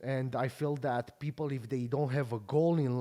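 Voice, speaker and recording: At a moderate pace, a man with a Romanian accent speaks at a medium pitch with ordinary pitch variation. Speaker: podcast host and pro bodybuilder. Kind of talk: casual interview chat.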